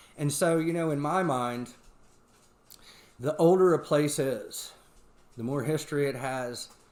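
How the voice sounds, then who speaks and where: With a Southern US accent, a man speaks at a fairly high pitch with ordinary pitch variation and long, frequent pauses. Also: fairly slow pace. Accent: southern American. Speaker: paranormal podcast host. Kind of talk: casual chat.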